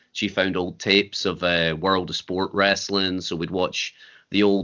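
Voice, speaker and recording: A man with a Scottish accent speaks at a moderate pace. His voice is very deep and low, with monotone, flat intonation. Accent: Scottish (Fife). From Scotland, Fife. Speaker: wrestler and promoter. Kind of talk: interview.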